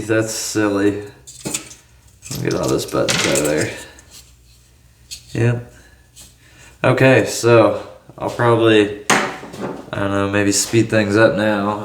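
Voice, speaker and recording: With long, frequent pauses, a man with a fairly low pitch speaks very slowly amid noticeable background noise and audible room echo. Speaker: tech cleaning video maker. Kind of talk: casual narration while working.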